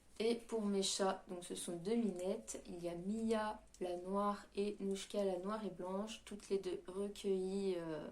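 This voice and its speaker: Speaking at a very slow pace, a woman uses a medium pitch and fairly even intonation. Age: 20s. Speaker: YouTuber. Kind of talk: casual chat. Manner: hesitant, many fillers.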